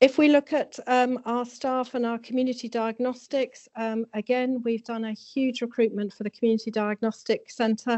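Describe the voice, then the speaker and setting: A woman speaks in a high voice with monotone, flat intonation and hardly any pauses. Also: moderate pace. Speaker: hospital chief executive with nursing background. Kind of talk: formal presentation. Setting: meeting room with audience. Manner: soft-spoken; hesitant, frequent fillers.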